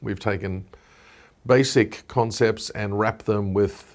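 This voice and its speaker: A man with an Australian accent speaks in a fairly low, monotone, flat voice. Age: 60s. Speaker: wellness entrepreneur. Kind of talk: interview.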